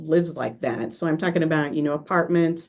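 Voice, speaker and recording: In an Oklahoma accent, a woman speaks with a very deep, low pitch. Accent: American, Oklahoma. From US, Oklahoma. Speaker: workshop presenter. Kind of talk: presentation over video call. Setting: video call.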